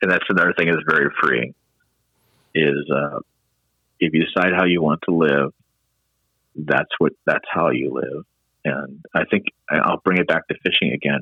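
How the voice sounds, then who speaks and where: A man with an American accent talks in a very deep, low voice with vocal fry, fairly even intonation and very even loudness. His pace is moderate, broken by long, frequent pauses. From Texas. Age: 60s. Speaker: writer and former Marine and college professor. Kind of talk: casual interview conversation.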